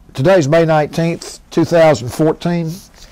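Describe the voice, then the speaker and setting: Noticeable background noise sits behind this recording. A man speaks in a fairly high voice. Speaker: volunteer oral history interviewer. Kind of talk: oral history interview. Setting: recorded interview on camera at a history center. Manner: polite, formal.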